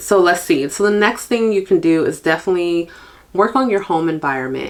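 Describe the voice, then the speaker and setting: A woman with an unremarkable speaking voice, at a moderate pace with ordinary pitch variation. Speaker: podcast host, stay-at-home mom. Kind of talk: casual podcast monologue. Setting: home recording, video podcast. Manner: chatty.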